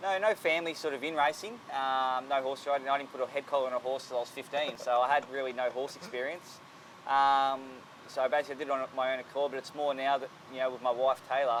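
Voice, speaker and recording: This man talks very fast with an Australian accent, his medium-pitched voice keeping a fairly even intonation. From Australia, Sydney. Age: 30s. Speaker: jockey. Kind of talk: interview.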